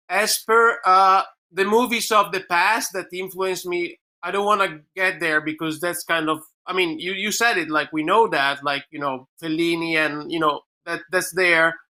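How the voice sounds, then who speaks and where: With an Italian accent, a man talks at a moderate pace in a high, bright, sharp voice with ordinary pitch variation. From Italy. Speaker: filmmaker. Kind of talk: panel discussion. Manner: halting.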